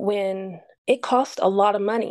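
Very slowly and in an Appalachian accent, a woman speaks at a medium pitch with a dark, mellow tone and fairly even intonation. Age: 50s. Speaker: boutique owner. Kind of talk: interview storytelling.

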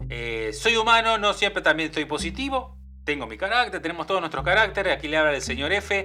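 His voice is high-pitched for a man, with a bright, sharp tone and very wide pitch swings. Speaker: podcast host. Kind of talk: casual monologue. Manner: halting.

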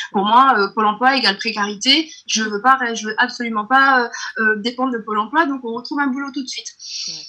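Against noticeable background noise, a woman with a high pitch and ordinary pitch variation speaks with big swings in loudness. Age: 30s. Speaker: entrepreneur. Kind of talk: interview. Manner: halting.

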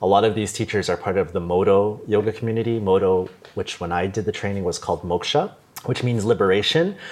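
A man with a Canadian accent talks at a fairly quick pace in a fairly low pitch. He has a normal speaking voice with fairly even intonation. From Canada, Toronto. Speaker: yoga teacher. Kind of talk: casual interview.

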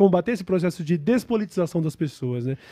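This man's voice has a dark, mellow tone and sits high for a man. His pitch swings very widely. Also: dry, close sound with no echo. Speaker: internet show host. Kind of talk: casual interview.

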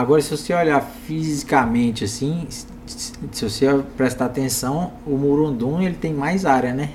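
Noticeable background noise sits behind a man speaking at a fairly slow pace. His fairly high pitch varies in an ordinary way. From Minas Gerais, Triângulo Mineiro. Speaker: agribusiness podcast host. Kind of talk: casual interview chat. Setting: studio.

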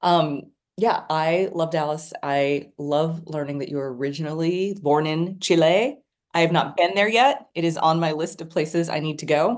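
Speaking in a plain, everyday voice with an American accent, a woman keeps a fairly low pitch and ordinary pitch variation. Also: moderate pace. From Texas. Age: 40s. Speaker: podcast host. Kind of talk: casual chat.

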